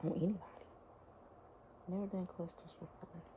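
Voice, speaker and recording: A woman speaks quietly. Her pitch is fairly low. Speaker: beauty vlogger, licensed esthetician. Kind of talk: casual chat while doing makeup. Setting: at home, toddler sleeping.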